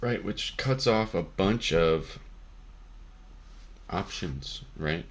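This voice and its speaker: There is vocal fry in this man's voice, and his intonation is lively. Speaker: Magic card game content creator. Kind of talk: deck tech explanation. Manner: casual, many fillers.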